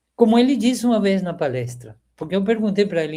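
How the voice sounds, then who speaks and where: A man's dark, mellow tone at a moderate pace, with a Spanish accent. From Venezuela. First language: Spanish (speaking Portuguese). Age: 70s. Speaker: agronomy professor. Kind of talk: interview reminiscence. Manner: halting, with repetitions.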